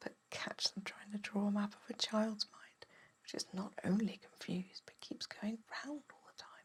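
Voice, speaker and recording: A whisper in a gentle tone at a moderate pace, over noticeable background noise. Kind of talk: ASMR bedtime story reading. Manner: soft-spoken, gentle, whispering.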